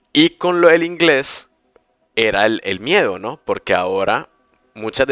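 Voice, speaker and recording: A man talks at a fairly slow pace with music in the background. The sound is dry and close, with no echo. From Colombia, Bucaramanga. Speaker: podcast host, language teacher. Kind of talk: casual chat.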